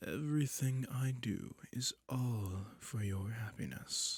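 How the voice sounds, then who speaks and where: A put-on character voice comes through on a very clean recording with a silent background. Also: man. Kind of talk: yandere seduction roleplay. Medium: audio drama. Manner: velvety, controlled, condescending.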